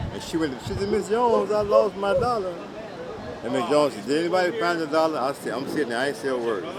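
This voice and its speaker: A man's fairly high voice at a very fast pace, with very wide pitch swings, noticeable background noise and audible room echo. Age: 80s+. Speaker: elderly father telling stories. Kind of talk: casual storytelling. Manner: loud; animated.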